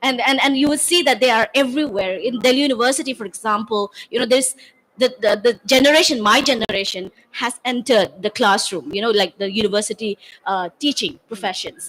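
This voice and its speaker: A woman's high-pitched voice with lively intonation at a fairly quick pace. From Manipur, northeast India. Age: 40s. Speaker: university teacher, panelist. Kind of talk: panel discussion. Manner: halting, many repetitions.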